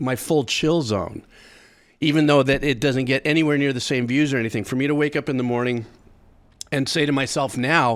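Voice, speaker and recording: Relaxed in tone, a man speaks at a fairly quick pace in a medium pitch with fairly even intonation. The recording is very clean, with a silent background. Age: 60s. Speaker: music reaction youtuber and composer. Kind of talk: casual vlog monologue. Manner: relaxed, halting with repeats.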